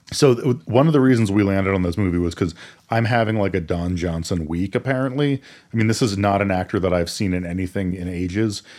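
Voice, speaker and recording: In a very clean recording with a silent background, a man with an American accent and a fairly low pitch speaks at a very fast pace with ordinary pitch variation. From Maine, US. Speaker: podcast co-host. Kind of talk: casual chat.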